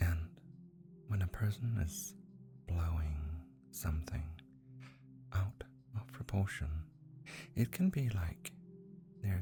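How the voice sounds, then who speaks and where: Very slow, very deep, low-pitched speech from a woman with very wide pitch swings, music in the background. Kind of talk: hypnotic guided relaxation.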